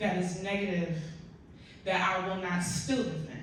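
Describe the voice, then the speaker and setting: Audible room echo and noticeable background noise around a woman speaking. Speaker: actress and audience member speaking at a community panel. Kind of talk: audience comment at a panel discussion. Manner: loud; animated.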